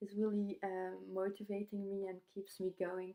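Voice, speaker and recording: A woman with a non-native accent at medium pitch and a moderate pace, over a quiet background. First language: not English. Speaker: youtuber reviewing online course. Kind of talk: product review vlog. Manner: halting, many fillers. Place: home room. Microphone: webcam.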